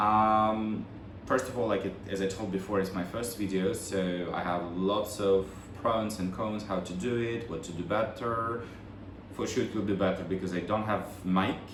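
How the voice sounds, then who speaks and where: With a Russian accent, a man speaks at a moderate pace in a fairly low pitch with fairly even intonation. Audible room echo and noticeable background noise fill the recording. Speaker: vlogger, bag collector. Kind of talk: casual unboxing vlog. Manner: halting. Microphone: no microphone, built-in mic.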